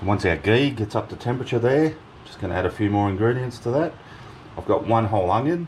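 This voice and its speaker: Very fast talk with big swings in loudness over noticeable background noise. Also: man, medium pitch for a man, lively intonation. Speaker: home cooking channel host. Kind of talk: cooking tutorial. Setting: home kitchen.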